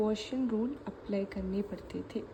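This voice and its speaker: A woman with a Malayali accent speaks with fairly even intonation. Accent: Malayali accent in Hindi. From Kerala, India. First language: Malayalam (speaking Hindi). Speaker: maths teacher. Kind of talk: tutorial. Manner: casual, conversational.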